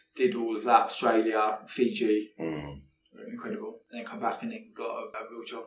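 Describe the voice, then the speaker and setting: A man talks at a moderate pace with hardly any pauses. His loudness swings widely. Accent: southern English. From Buckinghamshire, England. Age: 30s. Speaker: entrepreneur. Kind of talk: interview.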